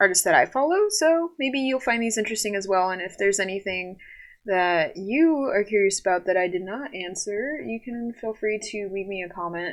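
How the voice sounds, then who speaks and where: On a very clean recording with a silent background, a woman with an American accent speaks at a medium pitch and a moderate pace with lively intonation. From Southern California. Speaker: artist and animator. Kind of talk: casual podcast talk. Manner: hesitant, many fillers.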